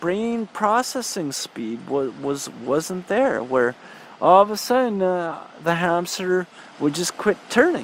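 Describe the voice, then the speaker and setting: A man with a Canadian accent speaks at a very slow pace in a high voice. Noticeable background noise is present. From Saskatchewan, Canada. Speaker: spiritual video creator. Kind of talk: personal testimony. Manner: halting, many restarts and fillers.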